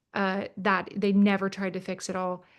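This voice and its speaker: Over a quiet background, a woman with an American accent has a plain, everyday voice, a medium pitch and a moderate pace. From Minnesota, US Midwest. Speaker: government teacher and author. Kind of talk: webinar conversation. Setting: online webinar.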